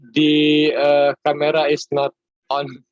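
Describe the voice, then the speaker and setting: The man speaks with an Indonesian accent at a fairly high pitch, in a dry, close sound with no echo. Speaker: conference session chair. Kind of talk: online conference session moderation. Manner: halting, many fillers.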